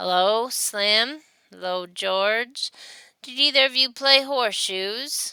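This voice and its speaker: Using a put-on character voice, a woman talks at a fairly slow pace and a fairly high pitch. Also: ordinary pitch variation. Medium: read story. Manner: hesitant, stammering.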